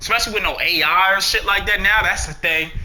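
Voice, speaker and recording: The speech comes very fast, with an audible room echo. Noticeable background noise sits behind it. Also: man. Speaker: gaming streamer. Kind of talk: casual vlog monologue. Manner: rambling, halting.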